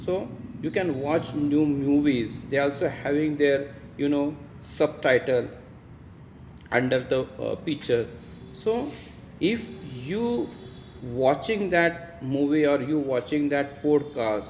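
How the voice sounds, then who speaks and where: Talking at a very slow pace with long, frequent pauses, a man with an Indian accent has a fairly high pitch and ordinary pitch variation. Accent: Indian (Marathi) English. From India, Maharashtra. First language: Marathi. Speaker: English teacher. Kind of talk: tutorial. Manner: halting.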